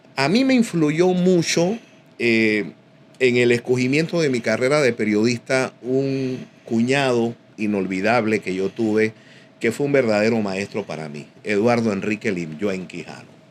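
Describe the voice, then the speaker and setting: This man has an unremarkable speaking voice at medium pitch. He talks at a fairly slow pace with lively intonation. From Panama, Panama City (Río Abajo, Santana). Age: 60s. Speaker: boxing commentator and sports journalist. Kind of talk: casual interview chat.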